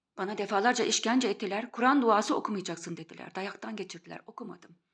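A woman talks with lively intonation. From Turkey. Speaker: video blogger. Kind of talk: monologue.

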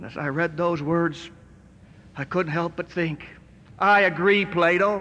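A man's raised, projected voice with a bright, sharp tone and an American accent. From United States. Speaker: motivational speaker, recovered stutterer. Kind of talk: motivational rally speech to a live audience. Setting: live auditorium, audio recording. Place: hall.

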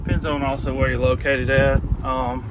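Over clear background noise, a man at medium pitch talks at a moderate pace with little pitch movement.

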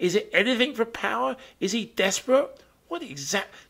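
Here a man with a British accent talks at a moderate pace in a high pitch. His pitch swings very widely over a quiet background. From Britain. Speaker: comedic news commentator. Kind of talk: comedic commentary. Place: home room. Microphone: studio mic.

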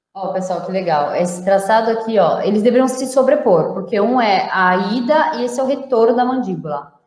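Against a quiet background with audible room echo, a woman speaks at a fairly quick pace with hardly any pauses, a fairly high pitch and lively intonation. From Brazil. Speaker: interpreter and host translating the talk; host translating the talk. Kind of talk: live lecture with interpreting. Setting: online live stream. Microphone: webcam.

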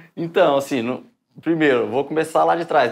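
A man with a fairly high voice speaks fairly quickly. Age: 20s. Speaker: civil service exam candidate; candidate. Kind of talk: interview. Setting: live stream. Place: office.

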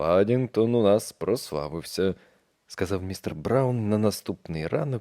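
Quiet background behind an unforced reading voice

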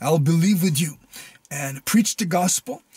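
A man talks with ordinary pitch variation, and the sound is dry with no echo. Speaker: preacher. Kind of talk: casual address to viewers, appeal for support. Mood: earnest, calm. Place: car. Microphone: phone near.

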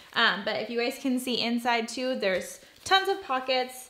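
With light background noise behind her, a woman speaks at a moderate pace. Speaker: mom vlogger. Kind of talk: casual vlog chat. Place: home room.

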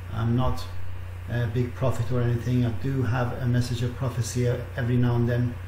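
A man speaks with ordinary pitch variation, some audible room echo and light background noise. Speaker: online minister leading prayer. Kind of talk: fervent intercessory prayer, addressing God directly. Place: home room. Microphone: webcam.

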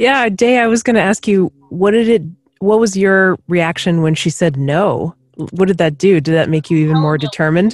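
With an ordinary speaking voice, a woman talks at medium pitch and a moderate pace, her intonation lively and her loudness very even. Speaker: podcast co-host. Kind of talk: casual chat.

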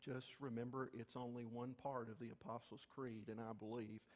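This man speaks at a moderate pace. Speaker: pastor. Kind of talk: sermon. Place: church.

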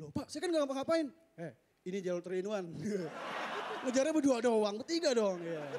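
Over light background noise, a man's high voice swings very widely in pitch. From Bekasi, Indonesia. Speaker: stand-up comedian. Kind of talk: stand-up comedy. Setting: stage with audience. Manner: animated. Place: stage. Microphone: handheld.

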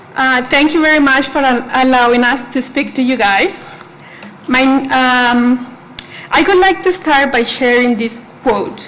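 A woman with a Spanish accent speaks at a fairly slow pace in a high pitch, with ordinary pitch variation and very even loudness, amid noticeable background noise and audible room echo. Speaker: student, public commenter. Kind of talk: public comment at board meeting. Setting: school board meeting.

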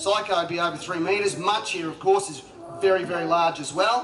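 Light background noise and audible room echo surround a man speaking at a fairly quick pace with a high pitch and ordinary pitch variation. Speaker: presenter. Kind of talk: live show commentary. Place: waterside.

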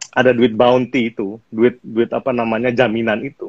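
A man talks at a fairly quick pace, his voice dry with no echo against a quiet background. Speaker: guest. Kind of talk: interview answer. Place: home room. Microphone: video call.

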